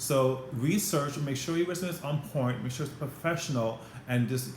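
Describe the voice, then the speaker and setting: A man speaks with a Caribbean accent at a fairly high pitch. Audible room echo surrounds his voice. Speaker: former flight attendant, career advice vlogger. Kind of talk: advice vlog to camera. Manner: fast; animated.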